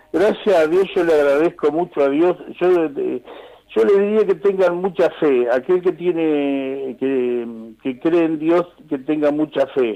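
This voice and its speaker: Noticeable background noise sits behind a man talking at a fairly slow pace. His voice is fairly high-pitched, with ordinary pitch variation. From Argentina, Pehuajó (Buenos Aires province). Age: 60s. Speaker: nurse. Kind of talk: phone interview. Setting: phone call. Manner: halting, many repetitions and fillers.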